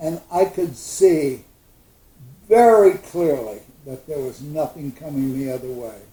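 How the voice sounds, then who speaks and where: A man with a dark, mellow, somewhat breathy voice of fairly high pitch speaks fairly slowly, with long, frequent pauses, lively intonation and big swings in loudness. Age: 80s+. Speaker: retired carpenter and motorcyclist. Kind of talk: casual storytelling. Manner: animated.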